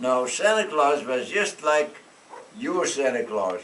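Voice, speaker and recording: A man with a Dutch accent speaks fairly slowly at a fairly high pitch. Noticeable background noise and audible room echo fill the recording. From Netherlands. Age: 90s. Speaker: storyteller. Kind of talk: storytelling to children. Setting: classroom.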